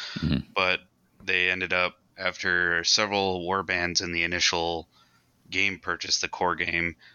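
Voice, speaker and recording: In a monotone, flat delivery, a man with a very deep, low pitch talks at a fairly slow pace. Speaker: podcast panelist. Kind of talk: casual chat.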